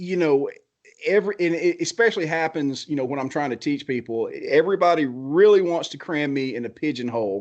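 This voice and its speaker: Lively intonation runs through this man's fairly high-pitched voice as he speaks at a fairly quick pace over a quiet background. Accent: American. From US South, Georgia. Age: 40s. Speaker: blacksmith. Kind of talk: casual chat. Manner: animated.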